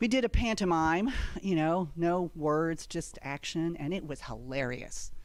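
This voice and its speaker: A woman's plain, everyday voice, fairly low in pitch, with lively intonation at a fairly slow pace. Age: 60s. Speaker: comedian. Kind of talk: stand-up.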